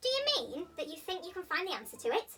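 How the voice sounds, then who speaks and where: A woman uses a put-on character voice that sounds squeaky. She speaks at a very fast pace. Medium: read story.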